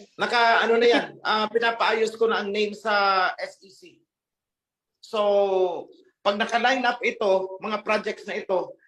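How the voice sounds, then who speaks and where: A man talks in a high voice at a moderate pace. His pitch variation is ordinary. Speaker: religious group leader. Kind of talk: question and answer session. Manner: sounds stern or angry.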